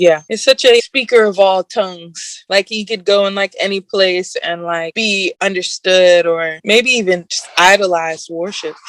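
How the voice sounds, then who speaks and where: A woman speaks at a moderate pace with hardly any pauses, her pitch medium and its variation ordinary. It's an unremarkable speaking voice, with a dry, close sound and no echo. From Echo Park, California. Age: young. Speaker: hip hop soul singer. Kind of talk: interview answer.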